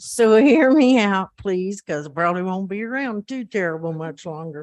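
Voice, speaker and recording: A woman uses a normal speaking voice at a medium pitch and moderate pace, with lively intonation and big swings in loudness. The sound is dry and close, with no echo. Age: 60s. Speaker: resident giving public comment. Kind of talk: public comment.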